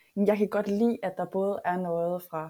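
Fairly even intonation in a woman's dark, mellow-toned voice. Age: 30s. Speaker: online coach. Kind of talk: casual chat. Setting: online video call.

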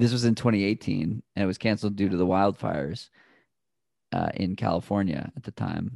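A man with an American accent speaks in a plain, everyday voice at a fairly low pitch and a moderate pace, with ordinary pitch variation and a dry, close sound with no echo on a very clean recording against a silent background. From Boston area, US. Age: 30s. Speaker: runner and podcaster. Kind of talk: casual interview chat.

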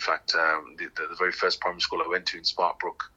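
Noticeable background noise sits behind the speech. A man talks at a very fast pace. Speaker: artist and community arts creator. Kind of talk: phone interview, chatty and reflective. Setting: phone call. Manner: relaxed, conversational, thoughtful, filler-heavy ('kind of', 'you know').

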